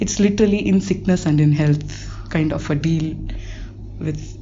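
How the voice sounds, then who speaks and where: Moderate-paced speech from a woman, with audible room echo and noticeable background noise. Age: 20s. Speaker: listener. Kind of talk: personal story.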